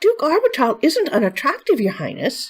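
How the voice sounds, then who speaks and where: In a squeaky, put-on character voice, a woman speaks at a high pitch and a moderate pace, with very wide pitch swings. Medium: read story.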